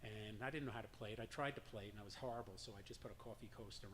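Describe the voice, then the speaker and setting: A man talking very fast in a fairly low, somewhat breathy voice with a slight New York accent. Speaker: drum circle leader. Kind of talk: personal story told to an audience.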